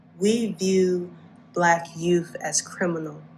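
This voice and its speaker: Speaking very slowly, a woman keeps her intonation fairly even, her medium-pitched voice somewhat breathy. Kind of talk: spoken word poetry performance.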